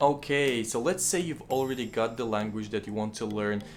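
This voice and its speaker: With a Kazakh accent, a man speaks at a fairly quick pace in a medium pitch with ordinary pitch variation. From Kazakhstan. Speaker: language-learning YouTuber. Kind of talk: tutorial.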